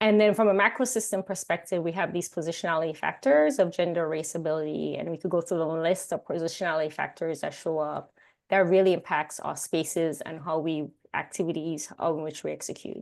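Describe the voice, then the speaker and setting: Speaking at a fairly quick pace in a Caribbean accent, a woman has a fairly low pitch with ordinary variation, set against a quiet background. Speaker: workshop facilitator. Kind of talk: workshop presentation.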